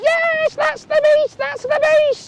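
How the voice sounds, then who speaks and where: A woman uses a squeaky, put-on character voice pitched extremely high. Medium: read story. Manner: several voices speaking together.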